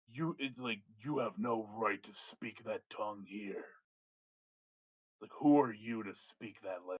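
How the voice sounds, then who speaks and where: In a booming, put-on character voice, a man speaks at medium pitch and a fairly slow pace, leaving long, frequent pauses. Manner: imposing, scornful.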